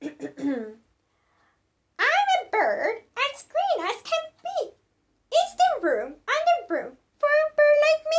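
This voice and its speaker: A woman's put-on character voice, squeaky and extremely high, with very wide pitch swings and a very slow pace. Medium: read story.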